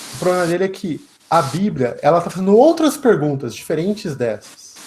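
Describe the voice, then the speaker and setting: Lively intonation drives a man's moderate-paced speech amid noticeable background noise. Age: young. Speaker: lecturer, economist and philosopher. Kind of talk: lecture and Q&A.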